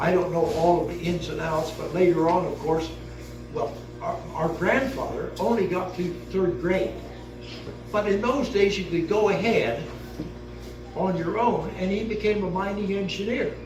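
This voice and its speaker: A man with an American accent speaks at a high pitch and a moderate pace, with long, frequent pauses. Music plays in the background, and room echo is audible. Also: ordinary pitch variation. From US Midwest, Kansas City. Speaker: retired professor. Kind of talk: family history talk. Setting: seated at family reunion with audience. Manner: halting.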